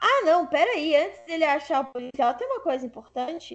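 A woman speaks in a high voice that swings very widely in pitch. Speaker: podcast host. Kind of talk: casual chat.

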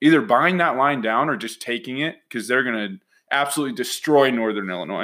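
Here is a man with a fairly high pitch and a plain, everyday voice. He talks at a fairly quick pace with lively intonation. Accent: American. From Utah (Salt Lake City). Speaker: sports betting podcast co-host. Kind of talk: casual chat.

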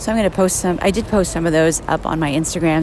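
Noticeable background noise and audible room echo around a woman, her pitch varying an ordinary amount. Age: 40s. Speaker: podcaster. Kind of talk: casual monologue. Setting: outdoors at a subway platform.

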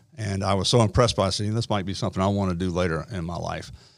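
Speech comes at a very fast pace with fairly even intonation, in an American accent. The recording is very clean, with a silent background. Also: man. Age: 60s. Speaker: retired army officer and school program administrator. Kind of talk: interview. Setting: studio.

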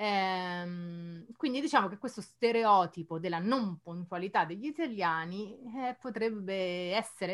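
This is a normal speaking voice. It moves at a fairly slow pace with ordinary pitch variation. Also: woman. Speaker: Italian teacher, podcast co-host. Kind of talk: casual chat.

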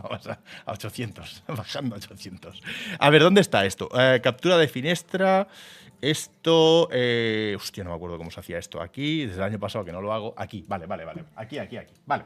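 The tone is animated, with very wide pitch swings, a fairly quick pace and big swings in loudness. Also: man, medium pitch for a man. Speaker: video game streamer and podcast co-host. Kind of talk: casual chat. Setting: live stream studio.

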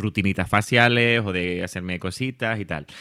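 In a very clean recording with a silent background, a man with a fairly low voice speaks in a bright, sharp tone with ordinary pitch variation. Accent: Canarian. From Canary Islands, Tenerife. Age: 30s. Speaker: social media creator on curly hair. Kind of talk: casual interview.

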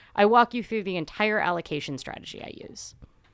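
A woman speaks at a fairly quick pace in an ordinary speaking voice, medium in pitch with lively intonation. The recording is very clean, with a silent background. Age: 20s. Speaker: personal finance podcast host. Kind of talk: solo podcast explainer.

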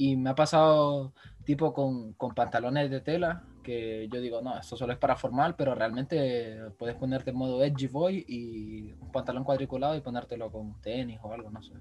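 A man with an unremarkable speaking voice at a moderate pace, with big swings in loudness. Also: medium pitch for a man, ordinary pitch variation. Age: 20s. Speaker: podcast co-host, journalism student. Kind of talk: casual chat.

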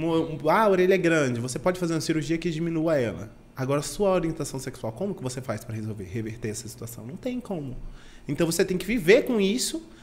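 A man's fairly high voice at a very fast pace, with very wide pitch swings. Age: 20s. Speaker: event producer. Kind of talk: casual chat.

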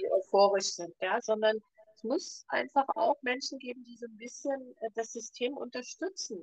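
Speaking at a moderate pace, a woman with a high pitch uses lively intonation and big swings in loudness, the sound dry and close with no echo. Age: 60s. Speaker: ayurveda expert and podcast co-host. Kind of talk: casual chat.

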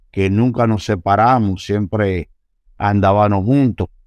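A man with a fairly low pitch and ordinary pitch variation at a very slow pace, the sound dry and close with no echo, over a quiet background. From Dominican Republic, Santo Domingo (Los Mina). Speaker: police officer. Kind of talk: interview, life story. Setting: studio.

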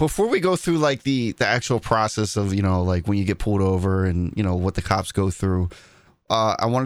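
Very fast speech comes from a man with a fairly low pitch. His loudness stays very even and his pitch variation is ordinary. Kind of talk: casual chat.

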